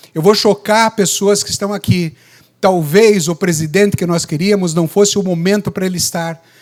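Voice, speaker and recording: This man's voice is high in pitch, and his intonation stays fairly even. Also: moderate pace. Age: 60s. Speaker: obstetrician. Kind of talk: lecture. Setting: stage with audience.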